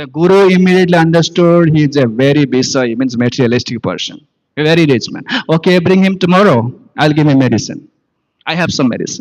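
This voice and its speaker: A man with an Odisha accent speaks very fast at a fairly high pitch with ordinary pitch variation. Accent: Indian English, Odia. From India, Odisha. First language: Odia. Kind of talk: sermon. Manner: halting.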